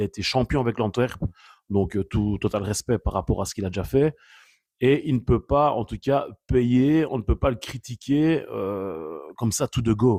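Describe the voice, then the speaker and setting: A man's dark, mellow tone with lively intonation at a moderate pace, dry, close sound with no echo, and a very clean recording with a silent background. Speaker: football commentator vlogger. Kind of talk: casual opinion commentary. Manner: animated.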